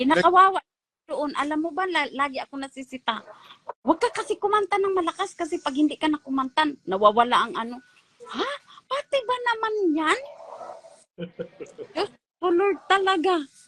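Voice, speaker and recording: At a fairly quick pace broken by long, frequent pauses, a woman speaks at an extremely high pitch with very wide swings, the sound dry and close with no echo. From Visayas, Philippines. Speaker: former church choir member. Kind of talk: casual chat. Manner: animated.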